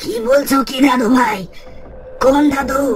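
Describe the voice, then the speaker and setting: A raspy, high-pitched cartoonish character voice from a woman, with clear background noise. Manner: anxious, protective.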